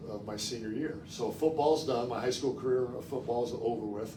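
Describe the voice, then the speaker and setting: A man with an American accent talks at medium pitch and a moderate pace, with ordinary pitch variation. There is audible room echo and noticeable background noise. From Chicago suburbs, Illinois. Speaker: former college football quarterback, guest speaker. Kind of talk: public talk. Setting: library talk with live audience. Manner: conversational, storytelling.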